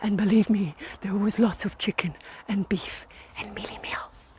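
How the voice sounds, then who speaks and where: A woman talks at a moderate pace with noticeable background noise. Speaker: vlogger. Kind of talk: comic tour-guide vlog. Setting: outdoors in garden.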